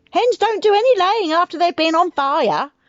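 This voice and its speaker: A woman cackles and shouts loudly in a put-on character voice, extremely high in pitch. Her intonation is lively and her pace moderate. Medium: read story. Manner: loud, shouting, cackling.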